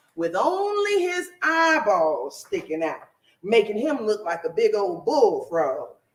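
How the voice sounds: Simply a natural reading voice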